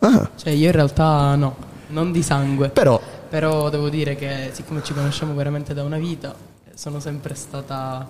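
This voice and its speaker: Against noticeable background noise, a man speaks in a monotone, flat intonation at a fairly high pitch. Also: moderate pace. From Calabria. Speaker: singer-songwriter. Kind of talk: interview. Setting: theatre, live radio.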